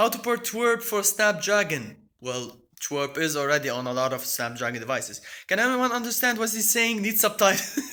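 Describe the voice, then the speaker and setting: Raised and projected, a man's high voice with an Arabic accent swings very widely in pitch at a moderate pace. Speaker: tech YouTuber. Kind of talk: live stream chat. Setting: at home, apartment. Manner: halting, many repetitions.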